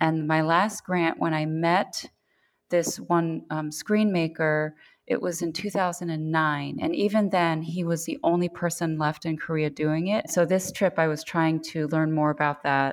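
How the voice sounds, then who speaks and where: A woman with an American accent speaks in an unremarkable speaking voice, her pitch fairly low and her pace fairly slow. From US, New York. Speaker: paper artist. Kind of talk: casual chat.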